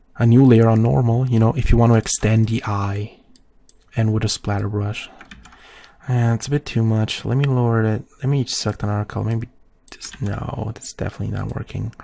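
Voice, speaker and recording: A man talks quietly at a medium pitch, his tone dark and mellow. His pace is fairly quick and his intonation fairly even. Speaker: photoshop tutorial creator. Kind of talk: tutorial. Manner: casual.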